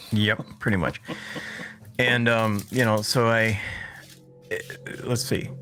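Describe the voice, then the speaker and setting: A man speaks with music in the background. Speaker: radio show and podcast host. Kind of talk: casual chat. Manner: halting.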